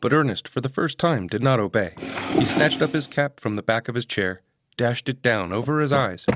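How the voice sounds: A natural reading voice carries the clip. Behind it, the background is quiet.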